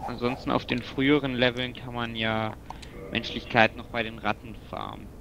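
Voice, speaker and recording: A man at a medium pitch and moderate pace, with monotone, flat intonation, big swings in loudness and noticeable background noise. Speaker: video game player. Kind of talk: casual chat while gaming co-op. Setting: video call or online voice chat while playing.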